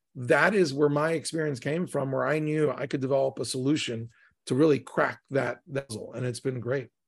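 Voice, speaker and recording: Against a quiet background, a man with an American accent speaks fairly quickly in a fairly high pitch, keeping his intonation fairly even. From US Mid-Atlantic, Maryland. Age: 50s. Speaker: tech company CEO. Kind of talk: interview. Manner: halting, with many fillers.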